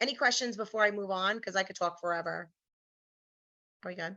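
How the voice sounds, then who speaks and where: Her tone bright and sharp, a woman with a New York accent talks at a medium pitch and a fairly quick pace. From New York, Brooklyn. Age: 40s. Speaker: teacher giving a training. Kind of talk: online workshop presentation.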